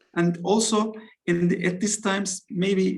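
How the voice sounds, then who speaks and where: A man in a Turkish accent speaks at a high pitch with monotone, flat intonation. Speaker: football coach. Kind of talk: interview. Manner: halting.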